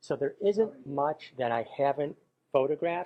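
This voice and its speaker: A man uses a normal speaking voice, pitched fairly high, at a moderate pace. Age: 60s. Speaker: professional photographer. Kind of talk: promotional interview. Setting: camera store.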